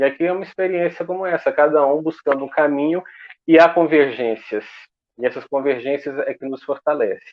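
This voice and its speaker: Speaking at a fairly high pitch, a man uses ordinary pitch variation. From Goiás, Brazil. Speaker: association representative. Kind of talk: online panel debate. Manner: slow.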